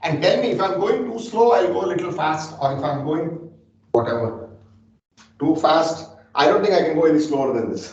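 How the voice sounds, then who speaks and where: With an ordinary speaking voice, a man talks at a moderate pace in a fairly high pitch with lively intonation. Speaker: data scientist teaching a class. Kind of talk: lecture. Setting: classroom with remote listeners on phone.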